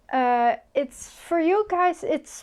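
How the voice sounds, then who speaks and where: A woman's very slow speech with a Dutch accent and lively intonation. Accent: Dutch accent, pronounces things a bit weird. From Netherlands. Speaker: sewing youtuber. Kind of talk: tutorial. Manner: halting, many fillers.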